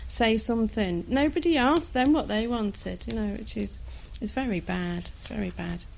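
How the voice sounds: With vocal fry and ordinary pitch variation, the voice moves at a fairly slow pace. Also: woman.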